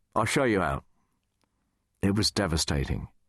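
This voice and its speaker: Dry and close with no echo over a quiet background, a man's voice shows vocal fry and very wide pitch swings. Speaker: radio DJ. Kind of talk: audiobook memoir reading.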